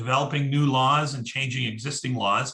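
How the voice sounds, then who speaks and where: A man's medium-pitched voice, bright and sharp in tone, at a moderate pace. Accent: Canadian. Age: 50s. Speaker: senator. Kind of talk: presentation.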